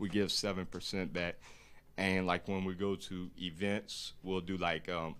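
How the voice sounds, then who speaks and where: With a strong Louisiana accent, a man speaks fairly slowly in a very deep, low pitch and a monotone, flat intonation. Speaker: boat captain and clothing brand founder. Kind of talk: casual chat. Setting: live stream podcast.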